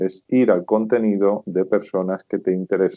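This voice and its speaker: The man's pitch sits fairly low. His intonation is fairly even. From Spain, rural Zamora province. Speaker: sales expert and consultant. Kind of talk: interview.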